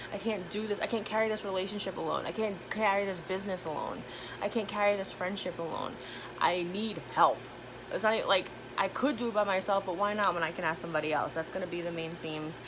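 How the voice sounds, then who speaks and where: A woman's medium-pitched, animated voice at a very fast pace, with noticeable background noise. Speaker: tarot reader. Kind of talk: channeled tarot reading, live stream.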